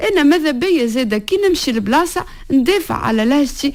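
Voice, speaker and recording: The speaker has a Tunisian accent and very wide pitch swings. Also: woman. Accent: Tunisian Arabic dialect, speaks it everywhere. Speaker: playwright. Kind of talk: radio interview. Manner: halting, repeats syllables.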